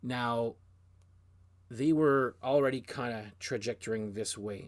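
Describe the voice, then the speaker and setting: Speaking at a medium pitch with ordinary pitch variation, a man with a Canadian French accent is heard in a very clean recording with a silent background. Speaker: music video blogger. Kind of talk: casual monologue. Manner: hesitant, many restarts.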